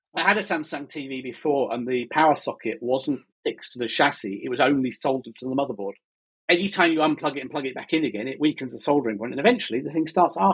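A man with a fairly high voice and ordinary pitch variation speaks very fast. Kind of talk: casual chat. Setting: living in Spain.

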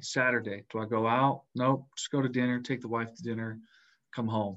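With a plain, everyday voice, a man speaks at a moderate pace and medium pitch. His intonation stays fairly even. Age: 20s. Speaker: wildfire firefighter. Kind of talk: interview testimony.

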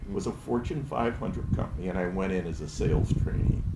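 The speaker is a man talking at a moderate pace. Audible room echo is present. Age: 80s+. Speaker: retired business owner. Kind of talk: casual interview. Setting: in person at a club.

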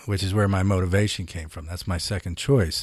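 Recorded very cleanly against a silent background, a man with an American accent talks in a fairly low, somewhat breathy voice. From US Northeast, Philadelphia. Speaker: former tech CEO and author. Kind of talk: interview.

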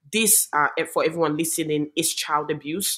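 A woman's fairly low voice at a moderate pace, with fairly even intonation. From Gambia. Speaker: human rights activist. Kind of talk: interview.

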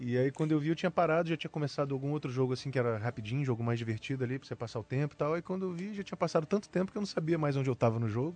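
A man talks at a very fast pace with hardly any pauses, his pitch fairly high and its variation ordinary. The sound is dry and close with no echo, over a quiet background. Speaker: voice actor. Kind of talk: casual interview.

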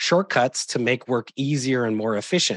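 A man with an American accent speaks at a moderate pace in an unremarkable speaking voice of medium pitch, with dry, close sound, no echo, and a quiet background. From US Midwest, southeast Wisconsin near Milwaukee. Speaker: nurse and patient safety specialist. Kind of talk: interview.

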